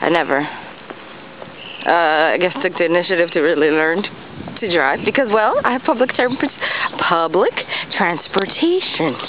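Speaking with an American accent at a fairly slow pace, a woman with a fairly low pitch has lively intonation, in a dry sound with no echo and light background noise. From New York City. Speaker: vlogger. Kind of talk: casual vlog. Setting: outdoors. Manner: halting. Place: street. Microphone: phone near.

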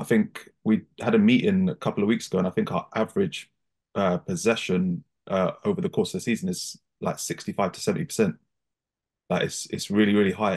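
A man's pitch swings very widely. He speaks at a fairly quick pace. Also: quiet background. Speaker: guest. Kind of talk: interview answer. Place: home room. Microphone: video call.

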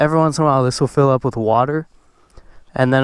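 Monotone, flat intonation comes through on a quiet background with a dry sound and no echo. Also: man. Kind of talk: casual vlog chat. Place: open country. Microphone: helmet.

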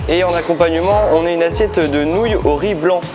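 Crowd noise fills the background. Over it, a man speaks at a moderate pace in a high voice with ordinary pitch variation. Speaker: travel vlogger. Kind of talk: casual vlog chat.

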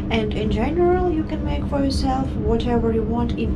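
There is loud background noise. Through it, a woman speaks at a moderate pace. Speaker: coffee shop worker. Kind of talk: vlog narration. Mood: cheerful. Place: cafe. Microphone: phone near.

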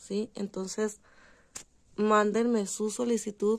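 The recording is very clean, with a silent background. A woman speaks at a medium pitch and fairly slow pace in a dark, mellow tone. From Durango, Mexico. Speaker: crochet instructor. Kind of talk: tutorial. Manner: conversational.

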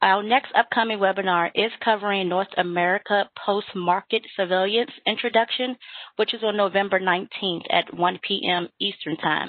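A woman speaks at a medium pitch and a moderate pace, with hardly any pauses. Hers is an unremarkable speaking voice. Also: fairly even intonation. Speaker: webinar moderator. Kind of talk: webinar hosting. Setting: video call.

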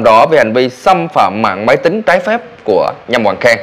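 Swinging very widely in pitch, a man talks at a fairly quick pace. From Vietnam. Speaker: vlogger news commentator. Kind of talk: news commentary monologue. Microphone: lapel.

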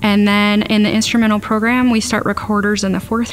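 A woman is speaking. Music plays faintly in the background. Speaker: music teacher. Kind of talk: interview answer. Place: classroom.

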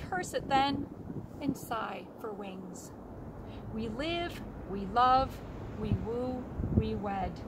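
Over loud background noise, a woman talks at a very slow pace, the sound dry with no echo. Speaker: library poetry reader. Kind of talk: poetry reading, a short welcome, then classic poems read aloud. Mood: hopeful, earnest. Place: forest. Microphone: phone near.

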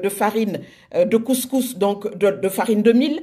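A woman talks at a moderate pace, her pitch varying in an ordinary way against a quiet background. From Senegal. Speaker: social media group moderator. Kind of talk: casual live video address. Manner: hesitant, many fillers. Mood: warm, enthusiastic. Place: home room. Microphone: phone near.

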